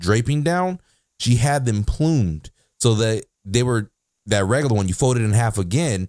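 With lively intonation and a medium pitch, a man speaks at a moderate pace against a quiet background, the sound dry and close with no echo. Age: 50s. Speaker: radio co-host. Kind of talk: casual chat. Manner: halting.

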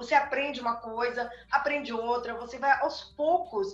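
A woman speaks at a moderate pace with ordinary pitch variation. Audible room echo surrounds her voice. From southern Brazil, Rio Grande do Sul. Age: 50s. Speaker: tarot reader and occult teacher. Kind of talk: interview on a video chat.

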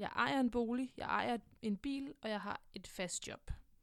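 The woman's voice is fairly high in pitch, with ordinary variation. She speaks at a fairly slow pace. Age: 20s. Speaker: podcast host. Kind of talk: personal monologue. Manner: hesitant, many filler sounds.

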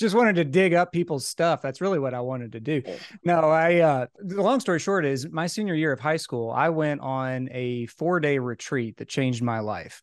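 A man's fairly high voice with lively intonation and hardly any pauses, over a quiet background. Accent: slight Southern US. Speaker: executive life and business coach. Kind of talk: casual interview.

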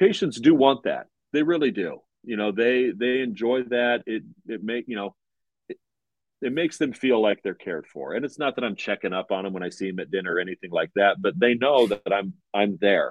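With lively intonation, a man speaks at a fairly quick pace in a medium pitch. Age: 40s. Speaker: dentist and practice owner. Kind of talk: interview.

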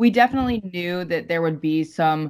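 This woman has a plain, everyday voice, fairly low in pitch, with lively intonation at a moderate pace. The recording is very clean, with a silent background. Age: 30s. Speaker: firearms company executive. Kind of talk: casual interview.

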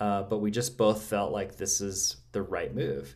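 Here is a man with an unremarkable speaking voice and an American accent. His intonation stays fairly even. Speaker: masculine wholeness coach. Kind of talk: casual interview chat.

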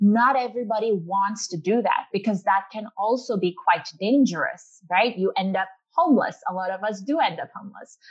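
The speaker talks at a moderate pace with ordinary pitch variation, sounding somewhat breathy and leaving hardly any pauses. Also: woman, medium pitch for a woman. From Pakistan. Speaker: financial educator and entrepreneur. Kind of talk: interview. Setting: live webcast.

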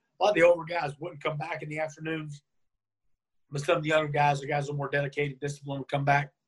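A man with an American accent talks at a very fast pace in a fairly high pitch. His voice is somewhat breathy, with a monotone, flat intonation. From North Carolina, US South. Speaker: former pro wrestler. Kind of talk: interview.

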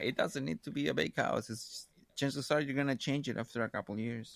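With vocal fry, a man speaks at a fairly quick pace in a very clean recording that sounds dry and close, with no echo and a silent background. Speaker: book club podcast co-host. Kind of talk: casual book discussion.

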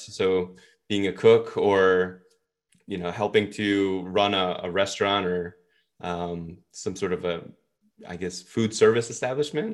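A man speaks with an American accent in an ordinary speaking voice. His pitch is fairly low, with ordinary pitch variation. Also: very clean recording, silent background. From New York (Brooklyn). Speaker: business school professor. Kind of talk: interview.

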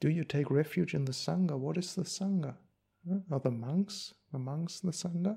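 A man with a German accent speaks with a fairly high pitch and a dark, mellow tone. The recording is very clean, with a silent background. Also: ordinary pitch variation, moderate pace. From Germany. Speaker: Buddhist monk. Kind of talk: dharma talk. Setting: monastery. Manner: halting.

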